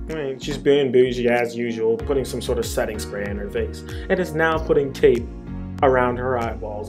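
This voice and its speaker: A man speaks with music in the background. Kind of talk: comedic voiceover commentary. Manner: casual, bemused.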